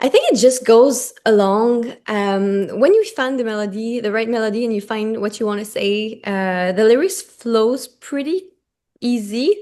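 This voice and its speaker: In a French Canadian accent, a woman speaks at a fairly slow pace with a dark, mellow tone, fairly high pitch and ordinary pitch variation against a quiet background. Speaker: singer-songwriter. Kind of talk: interview.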